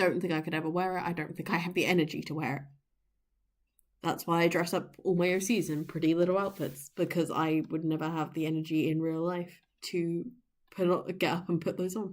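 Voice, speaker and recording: A woman speaks at a fairly quick pace in a fairly low pitch, her intonation monotone and flat, on a very clean recording with a silent background. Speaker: streamer and digital artist. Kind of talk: casual livestream chat while drawing. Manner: quiet; halting, many fillers. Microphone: poor mic quality.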